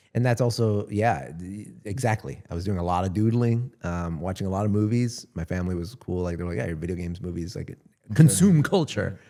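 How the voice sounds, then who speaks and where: Talking at a fairly quick pace with hardly any pauses, a man with a Southern Californian accent has a very deep, low pitch, a dark, mellow tone, and ordinary pitch variation. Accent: Southern Californian American. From US West Coast (San Gabriel Valley, Los Angeles). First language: Spanish. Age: 40s. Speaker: content creator. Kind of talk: casual chat.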